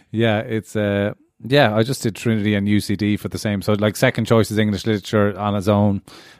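In a very clean recording with a silent background, a man with an Irish accent speaks at a fairly low pitch. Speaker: student. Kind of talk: casual chat.

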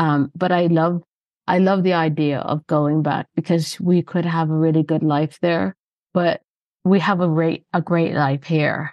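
A woman with an ordinary speaking voice talks at a fairly slow pace and a fairly low pitch. Her intonation is fairly even and her loudness very even. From Canada. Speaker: podcast host. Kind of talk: interview chat.

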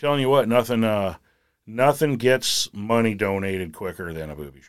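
This man has a normal speaking voice, pitched in the medium range and delivered at a moderate pace. His intonation is lively and his loudness swings widely, on a very clean recording with a silent background. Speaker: steam fitter. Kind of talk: casual chat.

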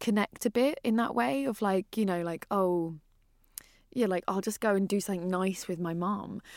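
Recorded with a dry, close sound and no echo, a woman with a medium-pitched voice and a British accent talks at a moderate pace with ordinary pitch variation. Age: 30s. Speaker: podcast host. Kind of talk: casual chat.

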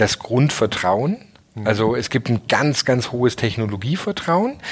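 Noticeable background noise under a man's medium-pitched voice, at a fairly slow pace with ordinary pitch variation. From southern Germany. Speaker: startup founder and CEO. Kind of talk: interview.

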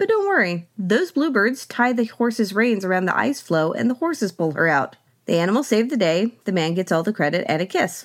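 With an American accent, a woman speaks at a medium pitch, her pitch swinging very widely while her loudness stays very even. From US South, Oklahoma. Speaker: podcast host. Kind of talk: scripted-style narration with commentary. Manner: humorous, wry.

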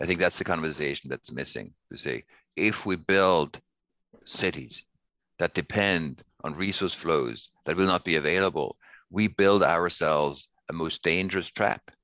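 With vocal fry and a very deep, low pitch, a man talks at a moderate pace in a bright, sharp tone, with ordinary pitch variation. The sound is dry and close with no echo, and the background is quiet. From Switzerland, Basel. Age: 50s. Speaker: sustainability researcher. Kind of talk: interview.

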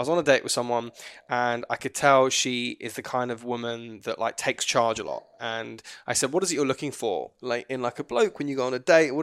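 A man with a British accent at a fairly quick pace, medium pitch and fairly even intonation, in a very clean recording with a silent background. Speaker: podcast co-host. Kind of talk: casual chat.

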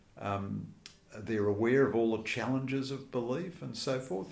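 With an Australian accent, a man speaks in a fairly low voice against audible room echo. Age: 60s. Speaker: journalist and author. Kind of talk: interview.

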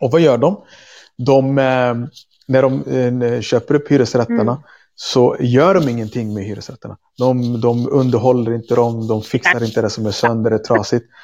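A man's medium-pitched voice, with ordinary pitch variation, moves at a moderate pace over a quiet background. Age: 30s. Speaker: activist and teacher. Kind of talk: interview conversation. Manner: halting.

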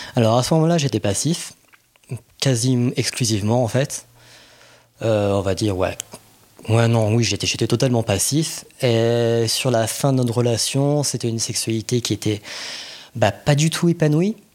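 Fairly slow with long, frequent pauses, a man speaks at medium pitch with ordinary pitch variation and very even loudness. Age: 30s. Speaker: podcast guest, communications worker. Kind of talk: casual interview. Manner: hesitant, many fillers.

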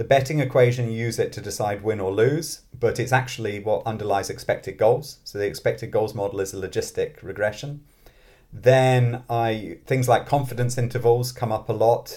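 At a moderate pace, a man speaks with a medium pitch and a dark, mellow tone that is somewhat breathy, his intonation fairly even. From born in London, grew up in Scotland. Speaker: mathematics professor and author. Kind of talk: interview conversation.

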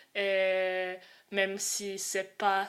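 This speaker, with a Croatian accent, is heard on a very clean recording with a silent background. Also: woman. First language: Croatian (speaking French). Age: 20s. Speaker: student and activist. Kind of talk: interview. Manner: halting.

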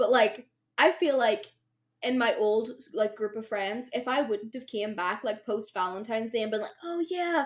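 A woman with a Derry accent, moderate pace and very wide pitch swings. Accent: Northern Irish (Derry). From Northern Ireland, Derry. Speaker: podcast co-host. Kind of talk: casual chat. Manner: animated.

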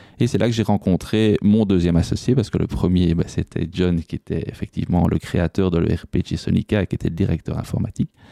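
A man speaks at a very deep, low pitch in a dark, mellow tone. His pitch variation is ordinary, and the sound is dry and close with no echo. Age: 40s. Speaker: IT entrepreneur. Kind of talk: interview conversation. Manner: hesitant, many fillers.

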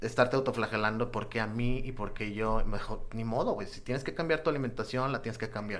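A man at medium pitch and a very fast pace. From Mexico, Nuevo Laredo. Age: 40s. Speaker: psoriasis patient. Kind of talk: testimony. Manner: halting.

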